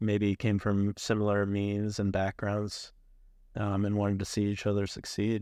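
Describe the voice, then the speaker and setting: A man's fairly low, dark and mellow voice at a moderate pace, monotone with flat intonation, over a quiet background. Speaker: university professor. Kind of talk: casual interview.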